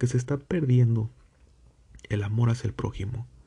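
A man's medium-pitched, somewhat breathy voice with a dark, mellow tone, ordinary pitch variation and a fairly quick pace. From Mexico. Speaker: religious podcast host. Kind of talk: religious teaching. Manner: halting.

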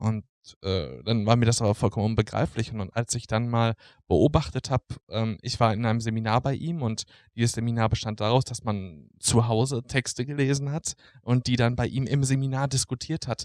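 A man's medium-pitched voice with ordinary pitch variation at a moderate pace, in a very clean recording with a silent background and a dry, close sound with no echo. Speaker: social work student. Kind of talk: casual chat. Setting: lying on his bed. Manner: halting.

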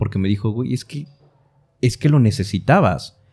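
With music in the background, a man speaks with lively intonation. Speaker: voice actor / announcer podcast co-host. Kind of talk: casual chat.

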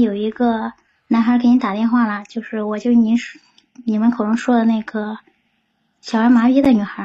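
A woman is speaking. Her pitch sits fairly high. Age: 30s. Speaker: caller. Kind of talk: call-in advice chat.

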